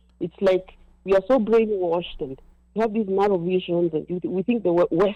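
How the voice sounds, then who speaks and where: The woman's voice sits at a medium pitch. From Kenya. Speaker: caller. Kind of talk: casual chat. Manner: fast.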